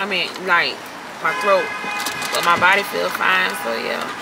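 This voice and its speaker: Loud background noise surrounds a woman as she speaks. The sound is dry, with no echo. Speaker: vlogger. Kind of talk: casual vlog chat.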